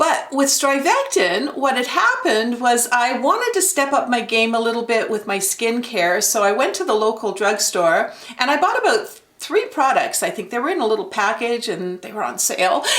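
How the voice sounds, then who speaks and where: A woman's high-pitched voice at a moderate pace with very wide pitch swings and hardly any pauses, plus audible room echo and noticeable background noise. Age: 60s. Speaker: beauty vlogger. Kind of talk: product review tutorial. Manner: casual, conversational with fillers.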